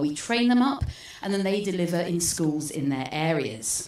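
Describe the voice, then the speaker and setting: In a British accent, a woman speaks at medium pitch and a moderate pace with very wide pitch swings, amid noticeable background noise and audible room echo. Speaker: space educator. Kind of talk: public talk. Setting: stage with audience.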